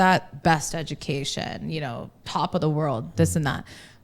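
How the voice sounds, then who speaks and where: Lively intonation and vocal fry from a woman with an American accent at a moderate pace, on a very clean recording with a silent background. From US East Coast, Maryland. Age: 30s. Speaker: journalist and radio presenter. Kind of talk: podcast interview.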